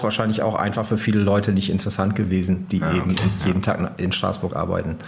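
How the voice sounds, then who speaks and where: A man with a fairly low pitch talks amid audible room echo and noticeable background noise. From northern Germany, East Frisia. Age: 50s. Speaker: magazine editor-in-chief. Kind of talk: interview. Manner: hesitant, many fillers.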